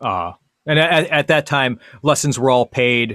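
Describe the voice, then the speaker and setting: A man talks at a moderate pace in a bright, sharp tone. The sound is dry and close with no echo, and the recording is very clean with a silent background. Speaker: guitar teacher. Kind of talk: interview.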